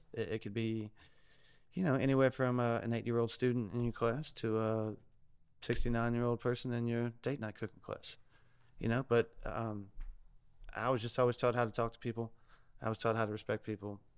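At a moderate pace, a man speaks in a flat monotone at a medium pitch, with long, frequent pauses. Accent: Louisiana. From South Louisiana. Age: 30s. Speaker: chef and food truck owner. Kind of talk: casual podcast interview.

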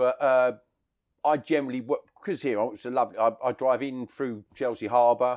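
Against a quiet background, a man talks at a fairly quick pace. His medium-pitched voice keeps a fairly even intonation. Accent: London. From London. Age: 50s. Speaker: taxi driver. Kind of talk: casual chat. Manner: talkative.

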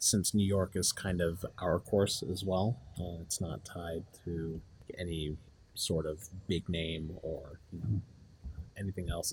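A man speaks with a very deep, low pitch. His voice is somewhat breathy. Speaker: game designer, 3D artist. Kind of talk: interview.

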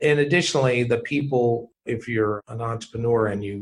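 Medium pitch from a man in a normal speaking voice, with fairly even intonation. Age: 60s. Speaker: company founder and venture capitalist. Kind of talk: casual interview.

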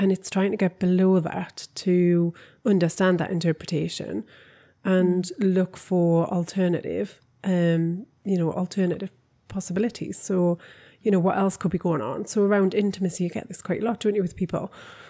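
A woman's dark, mellow tone with a Geordie accent and fairly even intonation, on a very clean recording with a silent background. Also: medium pitch for a woman, moderate pace. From northern England (Newcastle). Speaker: podcast co-host, relationship coach. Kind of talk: casual chat.

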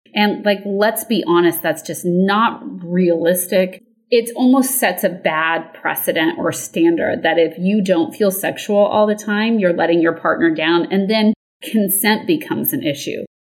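An unremarkable speaking voice from a woman at a medium pitch, fairly slow pace and lively intonation, with hardly any pauses. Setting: video call.

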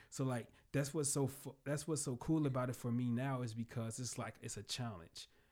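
Recorded very cleanly against a silent background, a man with a plain, everyday voice talks at a medium pitch and a moderate pace. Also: ordinary pitch variation. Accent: American. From Chicagoland area, northwest Indiana. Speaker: restaurant owner and chef. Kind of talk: casual interview chat. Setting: podcast studio.

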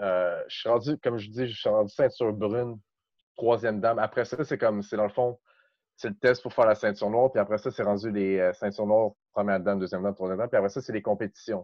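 Talking at a very fast pace, this man keeps his intonation fairly even. His pitch sits fairly low. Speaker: breakdancer. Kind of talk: casual chat.

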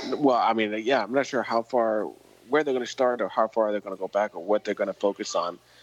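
A man speaks at a medium pitch and a fairly quick pace with fairly even intonation. The sound is dry and close with no echo, though noticeable background noise comes through. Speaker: podcast co-host. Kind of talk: casual chat. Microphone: poor sound quality.

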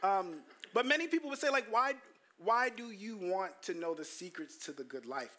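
Raising and projecting his voice, a man with an American accent sounds animated, with a bright, sharp tone. He swings his pitch very widely at a moderate pace. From US Northeast, Brooklyn, New York. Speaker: pastor. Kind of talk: sermon. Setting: church.

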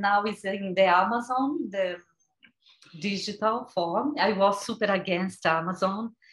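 A woman with a Brazilian Portuguese accent talks at medium pitch and a fairly slow pace, sounding somewhat breathy. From Brazil, rural São Paulo. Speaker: vegan chef and cookbook author. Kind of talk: casual interview chat.

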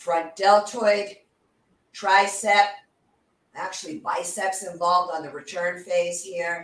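Talking at a very slow pace with long, frequent pauses, a woman with a fairly low pitch shows big swings in loudness. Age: 60s. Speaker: fitness instructor. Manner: instructional, cueing reps with steady commands; warm, friendly.

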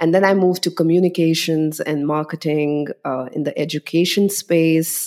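In a very clean recording with a silent background, a woman with an Indian accent speaks with fairly even intonation. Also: moderate pace. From India (Delhi). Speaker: tech marketer, former journalist. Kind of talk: interview.

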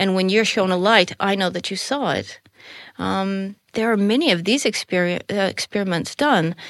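A woman with an American accent has an ordinary speaking voice at medium pitch, ordinary pitch variation and a moderate pace. The recording is very clean with a silent background and a dry, close sound with no echo. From Colorado, US. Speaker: spiritual teacher. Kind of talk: casual chat.

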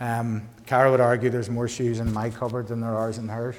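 In a Northern Irish accent, a man talks in a flat monotone, with audible room echo around him. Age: 40s. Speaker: pastor. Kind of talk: sermon.

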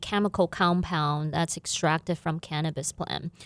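In a Chinese accent, a woman's voice comes through dry and close with no echo, on a very clean recording with a silent background. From China, Guizhou province. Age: 40s. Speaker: business owner. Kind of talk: interview. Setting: studio.

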